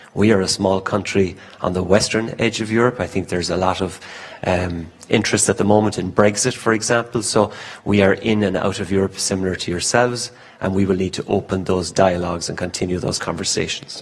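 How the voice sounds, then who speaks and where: In an Irish accent, a man with a fairly low pitch speaks at a fairly quick pace over noticeable background noise. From Ireland. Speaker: conference speaker, industry committee member. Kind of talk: conference talk. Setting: stage at business forum with interpreter. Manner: speaks quickly when excited.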